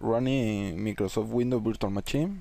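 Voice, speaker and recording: A man with a non-native accent speaks at a medium pitch. His tone is dark and mellow. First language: Spanish. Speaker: tech tutorial creator. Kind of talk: tutorial. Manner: halting, many fillers.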